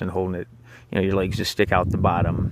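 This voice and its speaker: A man is speaking. His pitch is very deep and low. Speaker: vlogger recounting jail experience. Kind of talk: personal storytelling monologue. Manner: rambling, hesitant with fillers.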